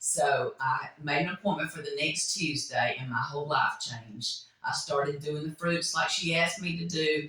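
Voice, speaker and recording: A woman speaks with a very deep, low pitch. Noticeable background noise sits behind her. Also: ordinary pitch variation, moderate pace, hardly any pauses. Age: 60s. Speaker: nurse. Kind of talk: testimony.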